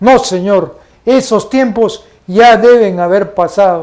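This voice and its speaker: A man's dark, mellow voice, high in pitch, with ordinary pitch variation and a very slow pace. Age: 60s. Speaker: TV program host, commentator. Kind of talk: opinion commentary. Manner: formal.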